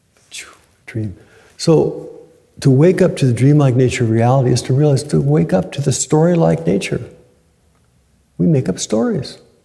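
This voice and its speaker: Somewhat breathy, a man speaks with very wide pitch swings and long, frequent pauses. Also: medium pitch for a man, moderate pace. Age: 70s. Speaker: Zen teacher. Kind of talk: dharma talk. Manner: conversational.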